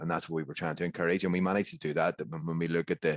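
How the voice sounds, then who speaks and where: Man with a Northern Irish accent, very deep and low in pitch, very fast and monotone, flat in intonation, in a dry, close sound with no echo and a quiet background. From Northern Ireland. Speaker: historian. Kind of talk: conference panel discussion. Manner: halting, many repetitions.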